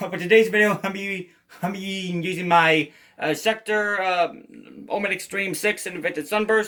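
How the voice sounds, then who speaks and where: A man with a high-pitched voice speaks in a raised, projected way at a moderate pace with fairly even intonation. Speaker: guitarist, video creator. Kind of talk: gear rundown tutorial. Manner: halting, repeated words.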